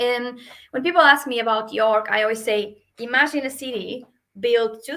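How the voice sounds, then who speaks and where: A woman's bright, sharp tone in a Portuguese accent, at a fairly slow pace. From Portugal. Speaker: hotel sales manager. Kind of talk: webinar presentation. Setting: video call webinar. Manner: hesitant, many fillers.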